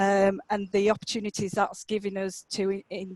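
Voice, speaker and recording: Dry and close with no echo, a woman's medium-pitched voice carries a Yorkshire accent and a monotone, flat intonation. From Yorkshire, England. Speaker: occupational therapist and academic. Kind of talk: conference presentation.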